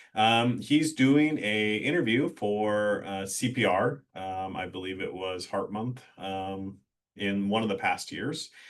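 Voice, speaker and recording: Very slow and fairly low in pitch, a man with a Midwestern US accent speaks with ordinary pitch variation. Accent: US Midwest. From rural Iowa. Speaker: EMS deputy chief. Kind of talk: webinar presentation. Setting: online webinar.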